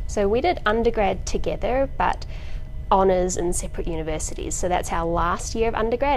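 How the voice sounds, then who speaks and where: This woman talks fairly quickly while music plays in the background. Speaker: video host. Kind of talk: casual storytelling chat. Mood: light, amused. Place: hall. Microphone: lapel.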